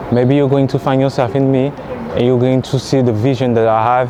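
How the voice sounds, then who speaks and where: A man speaks with a French accent over noticeable background noise. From France. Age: 30s. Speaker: content creator. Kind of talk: vlog monologue. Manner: casual, halting.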